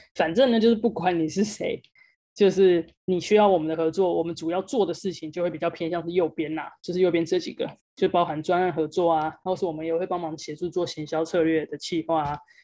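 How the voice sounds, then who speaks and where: A woman in a Taiwanese accent, fairly low-pitched with a dark, mellow tone, fairly even intonation and a fairly quick pace, against a quiet background. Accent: Taiwanese Mandarin. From Taiwan, Kaohsiung. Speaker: sports agency founder, former basketball player. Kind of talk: interview / presentation talk.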